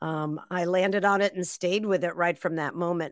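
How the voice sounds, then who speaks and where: A woman with an American accent and a plain, everyday voice, fairly low in pitch with fairly even intonation, in a very clean recording with a silent background. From Massachusetts, near Boston. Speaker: author and former radio host. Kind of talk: interview.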